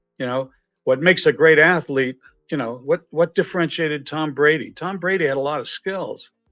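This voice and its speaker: Over music in the background, a man speaks at a fairly quick pace with a fairly high pitch. He has a slight Boston accent and ordinary pitch variation. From Massachusetts, near Boston. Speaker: entrepreneur and author. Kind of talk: podcast interview. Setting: live stream video podcast. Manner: animated.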